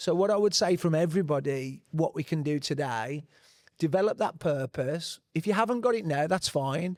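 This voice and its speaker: A man with an unremarkable speaking voice, fairly high pitch, lively intonation and a moderate pace, on a very clean recording with a silent background. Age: 40s. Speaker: panelist on men's health. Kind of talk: panel discussion.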